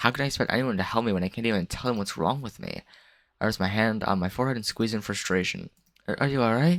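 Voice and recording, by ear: The speaker is reading aloud. The voice stays natural.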